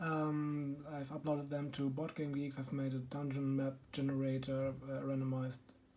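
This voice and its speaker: A man with a German accent talks at a moderate pace, with hardly any pauses and a fairly high pitch. His tone is dark and mellow, and his intonation stays monotone and flat. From Germany. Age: 30s. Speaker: board game YouTuber. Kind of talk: casual video introduction. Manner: halting, many filler ums.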